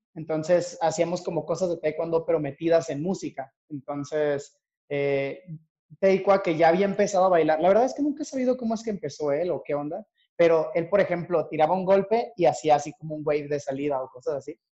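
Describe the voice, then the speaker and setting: Talking at a fairly quick pace, a man has a high-pitched voice with a dark, mellow tone. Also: ordinary pitch variation. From Mexico (Torreón, Coahuila). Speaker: dancer and dance teacher. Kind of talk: interview.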